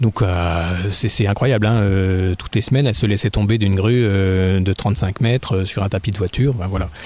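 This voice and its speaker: This man has a fairly low voice with ordinary pitch variation. He speaks at a moderate pace. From Burgundy, France (Dijon). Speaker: novelist and children's author. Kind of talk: radio interview. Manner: hesitant, many fillers.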